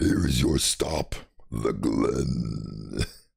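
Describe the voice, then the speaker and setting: A man puts on a cartoonish character voice. It is raspy and very deep, with a very low pitch. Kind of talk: put-on cartoon villain robot voice. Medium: virtual streamer. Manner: flat, formal, mechanical.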